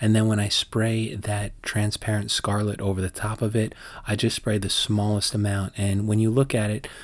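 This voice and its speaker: A man with a fairly low pitch speaks in a monotone, flat intonation, in a very clean recording with a silent background. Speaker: art teacher. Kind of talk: tutorial. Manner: fast.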